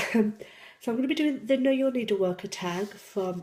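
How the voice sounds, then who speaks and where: This woman has a slight Yorkshire accent, a dark, mellow tone, ordinary pitch variation and a moderate pace. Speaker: YouTuber, cross-stitch hobbyist and senior carer. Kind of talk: casual vlog, answering tag questions. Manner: hesitant, many ums.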